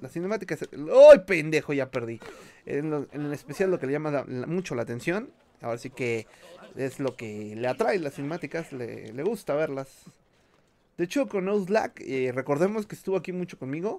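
Dark and mellow in tone, a man with a Mexican accent speaks at a fairly high pitch and a moderate pace, with lively intonation. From Mexico. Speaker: gaming streamer. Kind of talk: live gameplay commentary. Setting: live stream. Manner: animated.

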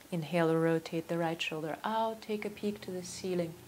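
Fairly low in pitch, a woman talks in a plain, everyday voice. Her pitch variation is ordinary. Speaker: yoga instructor. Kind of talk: guided yoga class, calm step-by-step cueing of poses and breath. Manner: slow, calm, soothing; instructional, with filler 'um' and 'uh' pauses.

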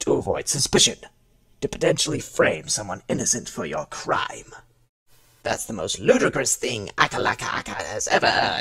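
Putting on a character voice, a man sounds raspy. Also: moderate pace. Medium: audio drama. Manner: hostile, haughty, defensive.

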